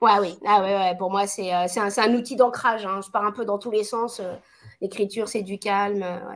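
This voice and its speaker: With a medium pitch and monotone, flat intonation, a woman speaks on a very clean recording with a silent background. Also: moderate pace. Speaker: entrepreneur and author, speaker. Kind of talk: live video interview. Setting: live stream on a social network.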